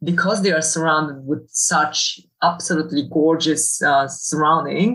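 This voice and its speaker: Speaking with a Polish accent, a woman uses fairly even intonation at a very deep, low pitch. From Poland. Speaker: university professor. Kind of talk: casual interview. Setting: video call. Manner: halting, many fillers.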